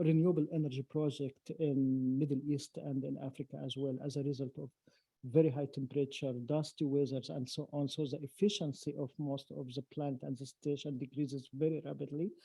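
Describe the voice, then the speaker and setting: A man with an Arabic accent speaks at a fairly quick pace. His delivery is monotone and flat, and somewhat breathy. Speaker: science academy president. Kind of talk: panel talk. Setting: lecture hall with audience. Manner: halting.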